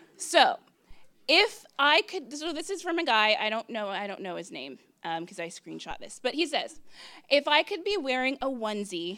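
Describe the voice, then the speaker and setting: A woman projects her voice in a raised, high pitch with a bright, sharp tone. Her pitch swings very widely. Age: 20s. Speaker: storyteller at live event. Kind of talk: live storytelling.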